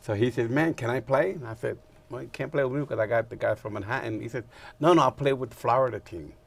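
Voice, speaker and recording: A man's medium-pitched, somewhat breathy voice at a very fast pace, with ordinary pitch variation and big swings in loudness. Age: 70s. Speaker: stickball gallery owner. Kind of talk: casual interview chat.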